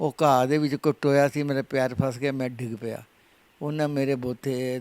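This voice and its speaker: The tone is dark and mellow, with monotone, flat intonation. The recording is very clean with a silent background. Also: man. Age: 80s+. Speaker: retired bodybuilder. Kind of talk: interview answer.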